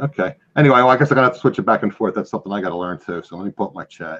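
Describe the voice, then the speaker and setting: A man speaks with a Philadelphia accent and lively intonation. The sound is dry and close, with no echo. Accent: Philadelphia accent, often taken for New York. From Philadelphia area, US Northeast. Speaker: reselling show host. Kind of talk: casual live-stream chat. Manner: fast.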